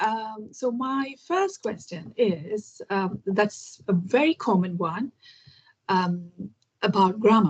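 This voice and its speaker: Lively in intonation, a woman speaks at a very slow pace. Her voice is fairly high and somewhat breathy. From India, Kerala. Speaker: English learning YouTuber. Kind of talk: interview conversation.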